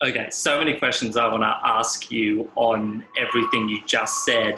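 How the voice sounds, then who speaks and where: A man with an Australian accent, at a moderate pace and with very even loudness. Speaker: podcast host. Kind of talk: casual chat.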